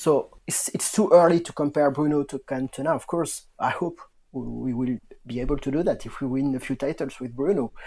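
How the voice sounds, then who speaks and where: With a French accent and a dark, mellow tone, a man speaks at a fairly quick pace. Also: ordinary pitch variation, very clean recording, silent background. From southwest France. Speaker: football fan podcast guest. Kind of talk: casual chat. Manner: halting.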